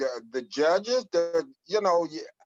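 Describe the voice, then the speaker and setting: A man with an American accent talks at a fairly slow pace in a fairly high pitch. His intonation is lively, and music plays in the background. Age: 60s. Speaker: political show panelist. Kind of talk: heated debate. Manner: halting.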